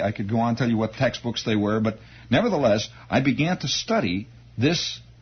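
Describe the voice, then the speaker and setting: Lively intonation marks a man's fairly quick speech. His voice is somewhat breathy. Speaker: radio host telling a story from his youth. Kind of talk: radio monologue, storytelling anecdote. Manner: conversational, animated.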